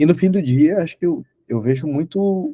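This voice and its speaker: Heard with a dry, close sound and no echo, a man speaks at a moderate pace in a dark, mellow tone. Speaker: podcast host. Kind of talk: casual interview conversation.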